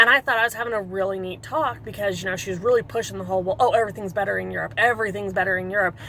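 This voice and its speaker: Animated and very fast, a woman talks with hardly any pauses, at medium pitch with ordinary pitch variation. Her tone is bright and sharp, with vocal fry. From South Dakota. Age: 40s. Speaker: vlogger, mother. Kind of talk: casual rant vlog.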